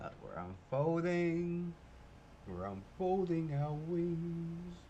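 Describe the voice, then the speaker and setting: A man's high-pitched voice at a very slow pace, with audible room echo and noticeable background noise. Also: ordinary pitch variation. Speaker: gaming streamer. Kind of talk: live game commentary. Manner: casual, chatty.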